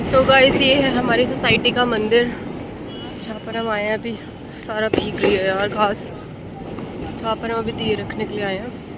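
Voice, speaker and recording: With fairly even intonation and long, frequent pauses, a woman speaks at a fairly high pitch through noticeable background noise and audible room echo. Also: moderate pace. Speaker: vlogger. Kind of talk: casual vlog chat. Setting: outdoors, rooftop during Diwali.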